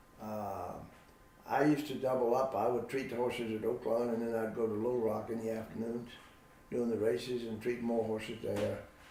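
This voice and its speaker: A man's medium pitch at a moderate pace, with noticeable background noise and audible room echo. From Virginia, US. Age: 80s+. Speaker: veterinarian. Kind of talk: interview.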